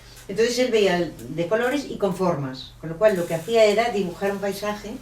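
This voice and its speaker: Audible room echo and noticeable background noise fill the recording. A woman with a medium pitch talks at a fairly quick pace. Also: ordinary pitch variation. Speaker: author. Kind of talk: book presentation talk. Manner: animated.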